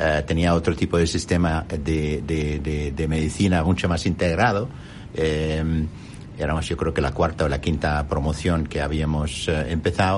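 A man's very deep, low voice with an Arabic accent, fairly even intonation and a fairly slow pace, over noticeable background noise. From Jordan. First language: Arabic (speaking Spanish). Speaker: company executive. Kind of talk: interview. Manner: halting.

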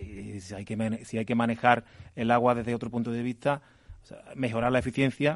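With an ordinary speaking voice, a man talks at a medium pitch and a fairly quick pace, his intonation fairly even while his loudness swings widely. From Andalusia, Spain. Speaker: agricultural engineer. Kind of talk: radio interview.

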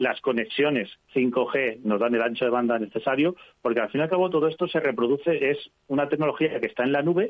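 At a very fast pace, a man talks at medium pitch with ordinary pitch variation. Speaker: technology journalist. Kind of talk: radio interview. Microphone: connection dropped.

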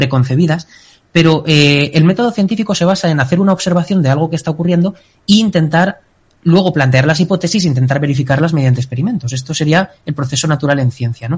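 A man talks at a very fast pace, his fairly high voice showing ordinary pitch variation. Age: 20s. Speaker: doctoral student and analyst. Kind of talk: casual chat.

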